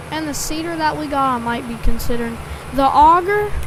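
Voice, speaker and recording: A woman's voice carries audible room echo. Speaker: farming game streamer. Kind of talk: gameplay livestream commentary. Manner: casual, filler-heavy.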